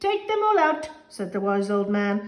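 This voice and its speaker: Using a put-on character voice, a woman talks at a moderate pace and a medium pitch. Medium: read story.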